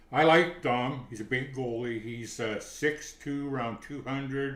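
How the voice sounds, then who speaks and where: In a room with audible echo, a man speaks at a fairly slow pace and medium pitch, his intonation fairly even but his loudness swinging a lot. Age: 70s. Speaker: hockey writer and commentator. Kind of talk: casual chat.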